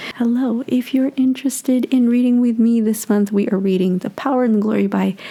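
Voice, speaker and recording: Moderate pace against noticeable background noise. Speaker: book reviewer. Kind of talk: casual book review talk.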